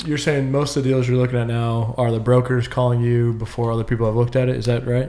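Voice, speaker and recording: A man with a medium pitch, monotone, flat intonation, a very fast pace and hardly any pauses. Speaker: podcast host. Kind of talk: casual interview. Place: meeting room. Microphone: studio mic.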